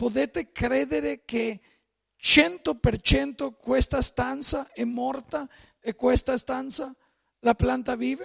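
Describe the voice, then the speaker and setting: A man with a Spanish accent talks at a very slow pace with long, frequent pauses. His pitch is extremely high and his intonation lively, over a quiet background. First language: Spanish (speaking Italian). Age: 50s. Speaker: pastor. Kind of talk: sermon. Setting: church. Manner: mixes Spanish and Italian. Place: church.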